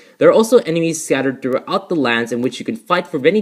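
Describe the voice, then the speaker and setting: A man speaks with very wide swings in pitch. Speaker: gaming youtuber. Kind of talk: gameplay commentary. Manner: halting, many fillers and restarts; rushed.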